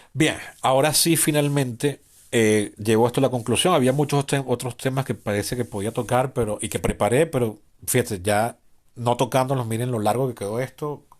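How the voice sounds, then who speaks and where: The man's pitch is medium, with ordinary variation. The background is quiet. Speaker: podcast host. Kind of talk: improvised solo podcast monologue. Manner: fast.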